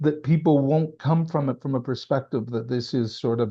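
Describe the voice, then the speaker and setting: Somewhat breathy male speech, its intonation fairly even. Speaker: former senior government official. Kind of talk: interview conversation. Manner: emphatic.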